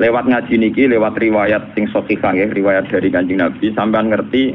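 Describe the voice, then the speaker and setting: In a Javanese accent, a man speaks at medium pitch with fairly even intonation over noticeable background noise. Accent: Javanese-accented Indonesian. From Rembang, Central Java, Indonesia. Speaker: Islamic cleric and Quran exegete. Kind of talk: religious sermon.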